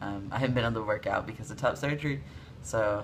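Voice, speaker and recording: Over noticeable background noise and room echo you can hear, a man rattles along at a very fast pace. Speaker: video blogger. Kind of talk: casual vlog update. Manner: casual, many fillers.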